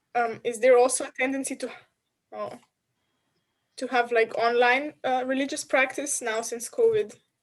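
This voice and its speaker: Here a woman with a Slovenian accent speaks at a high pitch with ordinary pitch variation. Her pace is moderate, broken by long, frequent pauses. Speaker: culture industry worker. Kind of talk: casual discussion.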